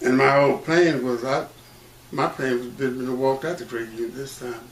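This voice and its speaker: Over noticeable background noise, a man with an American accent speaks at medium pitch and a fairly quick pace, with fairly even intonation and big swings in loudness. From Mississippi, rural Issaquena County. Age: 80s+. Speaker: civil rights pioneer and credit union manager. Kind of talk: oral history interview.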